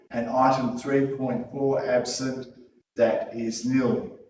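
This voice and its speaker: A man speaks at a very slow pace and medium pitch with fairly even intonation, with audible room echo. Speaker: meeting chair. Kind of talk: formal meeting proceedings.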